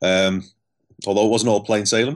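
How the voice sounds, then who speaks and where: Over a quiet background, a man with a Scouse accent speaks in a fairly low pitch with fairly even intonation. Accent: Scouse (Liverpool) English. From Liverpool, England. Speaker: elite cyclist and performance psychologist. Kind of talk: interview storytelling.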